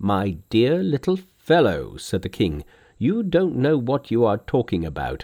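Vocal fry marks a man's medium-pitched voice. He talks at a fairly slow pace with very wide pitch swings. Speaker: audiobook narrator.

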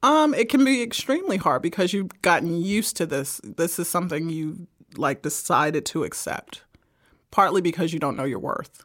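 On a very clean recording with a silent background, a woman with an American accent speaks in a fairly low pitch with very wide pitch swings. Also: moderate pace. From Brooklyn, New York. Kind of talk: casual chat about faith. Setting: studio.

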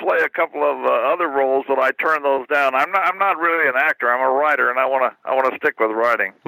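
A man talks at a fairly quick pace with a Midwestern American accent. The sound is dry and close, with no echo. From Missouri, Kansas City. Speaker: writer. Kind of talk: interview. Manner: halting.

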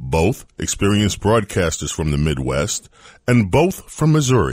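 Vocal fry runs through this man's speech. His pitch swings very widely at a moderate pace. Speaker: podcast host. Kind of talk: interview with ad reads.

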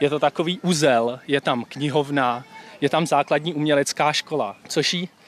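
This is an unremarkable speaking voice at a moderate pace with ordinary pitch variation. The sound is dry and close, with no echo. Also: man. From Czech Republic, Příbram. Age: 20s. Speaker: medical student. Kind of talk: casual chat.

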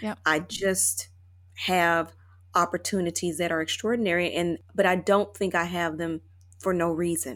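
A woman speaks with an American accent. Her pace is moderate, with ordinary pitch variation. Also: very clean recording, silent background. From US South, Chattanooga, Tennessee. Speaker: attorney, actress and author. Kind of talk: interview conversation.

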